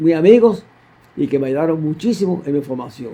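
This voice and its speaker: This man's voice has a dark, mellow tone. His pitch is fairly high and varies in an ordinary way. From Cuba. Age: 90s. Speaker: deacon. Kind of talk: interview testimony. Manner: halting.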